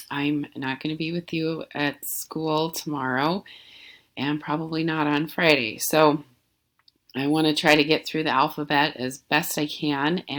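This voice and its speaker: A woman's raspy, put-on character voice, very deep and low in pitch, at a moderate pace on a very clean recording with a silent background. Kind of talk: teacher addressing students.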